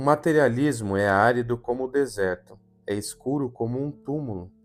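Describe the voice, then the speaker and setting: Music plays in the background. A man speaks fairly slowly, his pitch varying in an ordinary way. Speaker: audiobook narrator. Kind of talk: gothic horror audiobook reading.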